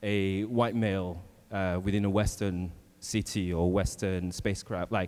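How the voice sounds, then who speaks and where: Speaking with a French accent, a man uses a fairly low pitch. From France. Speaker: workshop facilitator, panelist. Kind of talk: panel discussion.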